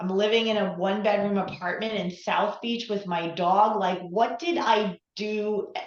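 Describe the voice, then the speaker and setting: A woman speaks with an American accent at a medium pitch. Her pace is fairly slow, and there is audible room echo. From New York. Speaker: relationship coach. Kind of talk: interview.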